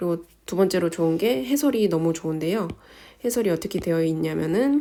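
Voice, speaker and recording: At a fairly quick pace, a woman speaks with a fairly low pitch and a dark, mellow tone. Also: lively intonation. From South Korea. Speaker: nurse and exam-tips vlogger. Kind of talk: informal tutorial.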